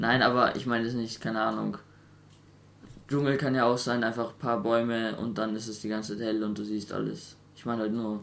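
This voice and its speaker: Speaking fairly quickly, a man of medium pitch keeps a flat, monotone intonation. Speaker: podcast co-host. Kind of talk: casual chat.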